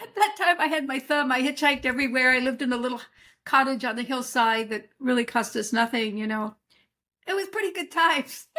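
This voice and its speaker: Talking at a fairly quick pace, a woman with a high pitch uses a raised, projected voice and lively intonation in a very clean recording with a silent background. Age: 70s. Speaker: herbalist and author. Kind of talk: interview.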